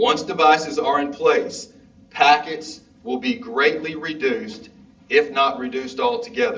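Speaking loudly and fairly slowly with a Southern US accent, a man's fairly high voice swings very widely in pitch over noticeable background noise. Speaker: school district official. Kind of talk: public meeting presentation.

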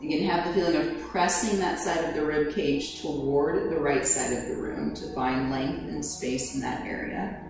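A woman at a moderate pace with hardly any pauses, in strong room echo and noticeable background noise. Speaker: yoga instructor. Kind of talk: guided yoga instruction. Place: home room.

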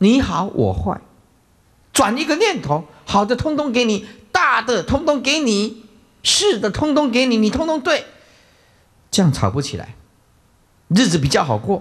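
Pausing long and often, a man speaks fairly slowly at an extremely high pitch with very wide pitch swings over a quiet background. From Taiwan. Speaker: Buddhist monk teacher. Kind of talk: dharma lecture. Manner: many filler interjections. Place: hall. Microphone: podium.

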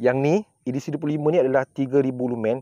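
This man's voice has a dark, mellow tone, heard against a quiet background in a dry recording with no echo. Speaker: product reviewer. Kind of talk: casual product review chat. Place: open country.

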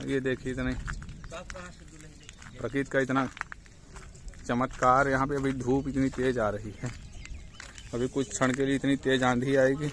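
A man in monotone, flat intonation at a fairly slow pace, with long, frequent pauses, a dry sound with no echo and light background noise. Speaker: site contractor. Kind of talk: casual vlog commentary. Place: open country. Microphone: phone near.

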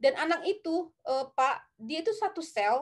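The background is hushed. A woman does the talking. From North Sumatra, Indonesia (Tarutung, Batak area); North Sumatra, Indonesia. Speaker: film director; guest. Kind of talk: interview. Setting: live stream. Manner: hesitant, many filler sounds. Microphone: webcam.

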